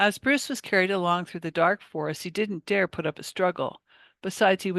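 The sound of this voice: An unforced reading voice with fairly even intonation, against a quiet background.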